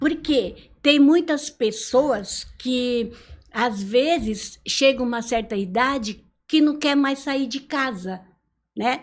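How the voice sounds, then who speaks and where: Speaking at a very slow pace, a woman with a high pitch and ordinary pitch variation is heard in a very clean recording with a silent background. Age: 70s. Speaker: retired teacher. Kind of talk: interview.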